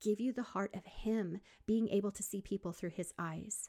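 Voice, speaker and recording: A woman in a normal speaking voice, medium in pitch with ordinary pitch variation, speaks at a moderate pace in a dry, close sound with no echo, on a very clean recording with a silent background. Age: 50s. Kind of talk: faith-based podcast monologue. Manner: warm, encouraging.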